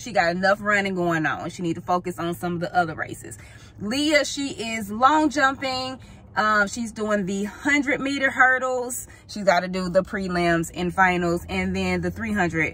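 A woman speaks at a fairly slow pace with lively intonation and big swings in loudness. The sound is dry, with no echo. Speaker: parent vlogger. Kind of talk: casual vlog chat. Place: car. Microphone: phone near.

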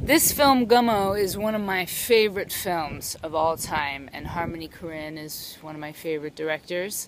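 Against noticeable background noise, a woman speaks at a fairly slow pace in a dry sound with no echo. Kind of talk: casual vlog chat. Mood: enthusiastic about a favorite film. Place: bicycle. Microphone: phone near.

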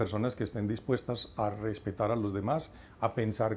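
A man's dark, mellow tone at a moderate pace. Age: 50s. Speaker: writer and researcher on workplace wellbeing; lecturer, interview guest. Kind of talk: TV interview. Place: studio. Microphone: lapel.

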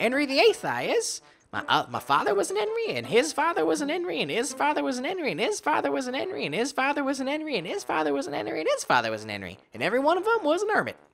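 A high-pitched, put-on character voice rattling along at a very fast pace with hardly any pauses, over light background noise. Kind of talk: rustic, ungrammatical dialect. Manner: droning, repetitive. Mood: playful, amused.

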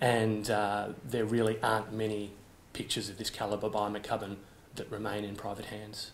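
There is light background noise as a man talks with an Australian accent. His pitch is fairly low. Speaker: auction house managing director and auctioneer. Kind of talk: auction house presentation of an artwork lot. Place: office.

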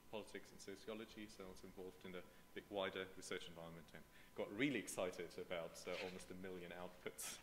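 A man with a German accent, ordinary pitch variation, and light background noise. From Germany. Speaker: political scientist. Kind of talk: conference talk. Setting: seminar room with audience. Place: hall.

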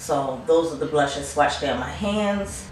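A woman at a moderate pace, with light background noise and audible room echo. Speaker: beauty vlogger. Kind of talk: casual haul review chat. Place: home room.

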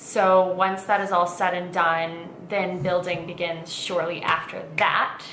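Light background noise and audible room echo accompany a woman talking at a fairly slow pace. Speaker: vlogger. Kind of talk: casual vlog chat. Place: kitchen. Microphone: camera far.

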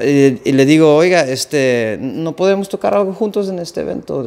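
This man's voice sits fairly high in pitch, and his intonation is lively. He talks at a moderate pace. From Netherlands. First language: Dutch (speaking Spanish). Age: 30s. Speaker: accordion musician; guest. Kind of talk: casual interview. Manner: halting, repeats words. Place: home room.

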